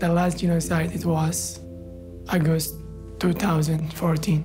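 The speech moves at a fairly slow pace against noticeable background noise. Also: man. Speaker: genocide survivor, refugee. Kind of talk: documentary testimony. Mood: earnest, hopeful, sometimes smiling. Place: studio.

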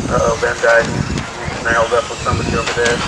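Noticeable background noise sits under speech that proceeds at a moderate pace. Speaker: race announcer. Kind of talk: commentary. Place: street.

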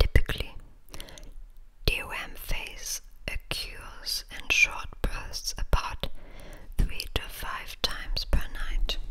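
Whispering at a very slow pace, broken by long, frequent pauses. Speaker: ASMR reader. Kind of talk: ASMR article reading. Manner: whispered.

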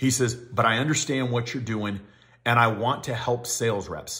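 Fairly even in intonation, a man talks at a moderate pace in a bright, sharp tone over a quiet background. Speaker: equipment rental sales trainer. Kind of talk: casual vlog chat. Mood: earnest, grateful storytelling. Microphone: phone near.

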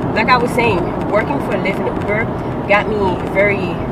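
A woman speaks at a fairly quick pace. Loud background noise sits behind her. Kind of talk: casual vlog chat. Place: car. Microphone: phone near.

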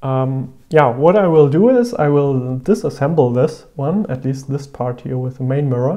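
A man speaks at a fairly slow pace with a dark, mellow tone. The background is quiet. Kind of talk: tutorial. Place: home room.

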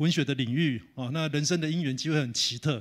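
A man talks at a very fast pace in a fairly high pitch with ordinary pitch variation. The background is quiet. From Taiwan. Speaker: professor. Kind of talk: lecture. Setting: conference hall with audience. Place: hall. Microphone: handheld.

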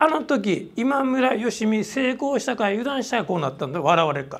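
A man speaks in a high pitch with very wide pitch swings. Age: 60s. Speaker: salon business owner and speaker; speaker. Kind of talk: lecture. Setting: stage with audience. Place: meeting room.

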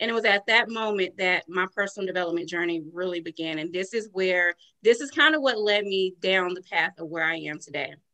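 Against a quiet background, a woman speaks at a fairly quick pace with hardly any pauses, a bright, sharp tone and ordinary pitch variation. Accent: Southern US. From US South, rural North Carolina. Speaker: entrepreneur and life coach. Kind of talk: interview. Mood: earnest, reflective. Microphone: video call.

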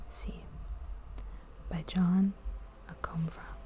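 Soft-spoken and calm in tone, a woman speaks at a very slow pace. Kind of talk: ASMR gallery tour narration, soft spoken. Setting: art gallery with background noise. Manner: soft-spoken, calm.

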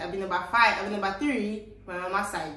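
A Nigerian accent with audible room echo. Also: woman. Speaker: vlogger. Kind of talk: Nigerian Pidgin English. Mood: relaxed, cheerful. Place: home room.

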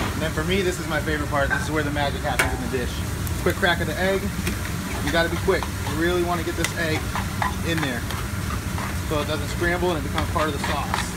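Very fast male speech over loud background noise. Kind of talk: cooking tutorial. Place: kitchen. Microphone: phone near.

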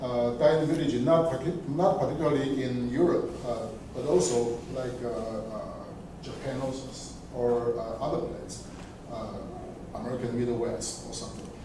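A man with ordinary pitch variation and long, frequent pauses, amid noticeable background noise and strong room echo. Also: fairly slow pace. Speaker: audience member. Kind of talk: academic discussion. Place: classroom. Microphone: camera far.

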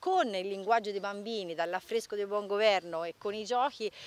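A woman speaks at a moderate pace with fairly even intonation, the sound dry with no echo. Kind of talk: interview answer. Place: open country. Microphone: handheld.

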